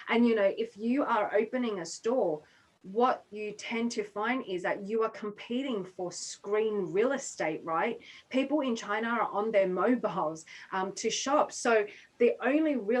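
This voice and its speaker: Speaking fairly slowly with an Australian accent, a woman uses a fairly high pitch and ordinary pitch variation. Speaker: business consultant. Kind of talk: webinar talk. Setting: online webinar.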